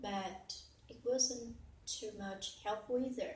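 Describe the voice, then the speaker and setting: Here a woman speaks with a fairly high pitch. Audible room echo is present. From Vietnam. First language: Vietnamese. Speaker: English learner and teacher. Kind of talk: personal story. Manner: halting with fillers.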